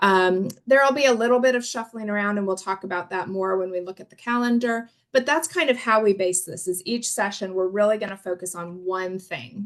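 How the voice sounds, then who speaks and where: Her loudness swings widely as the woman talks at a fairly quick pace and medium pitch with ordinary pitch variation. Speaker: public health trainer. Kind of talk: online course lecture. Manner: fast.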